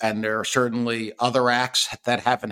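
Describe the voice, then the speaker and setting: A man's medium-pitched voice with a bright, sharp tone comes through on a very clean recording with a silent background. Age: 50s. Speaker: podcast co-host. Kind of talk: casual chat.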